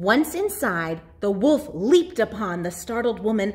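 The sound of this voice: This is an unforced reading voice. Nothing more stands out.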